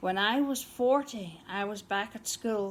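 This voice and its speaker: A woman with a Northern Irish accent speaks at a fairly high pitch with fairly even intonation, on a very clean recording with a silent background. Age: 60s. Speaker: amateur poet. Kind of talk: poetry reading.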